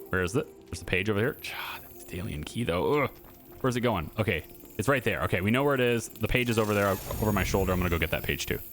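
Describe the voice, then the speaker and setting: Over music in the background, a man talks at a very fast pace with a fairly low pitch and ordinary pitch variation. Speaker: gaming YouTuber. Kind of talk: gameplay commentary. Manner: halting, stuttering when focused; casual, many fillers.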